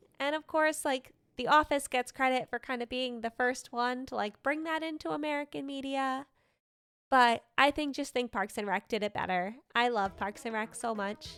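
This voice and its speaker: Her pitch is high for a woman, with ordinary pitch variation. The woman keeps to a moderate pace. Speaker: streamer. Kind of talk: casual gaming livestream chat. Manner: casual, filler-heavy.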